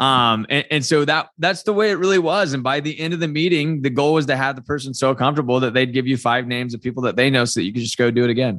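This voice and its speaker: This man speaks with an American accent at a very fast pace. His pitch is medium. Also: ordinary pitch variation, hardly any pauses. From Indiana, Muncie area. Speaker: insurance broker. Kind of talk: casual interview.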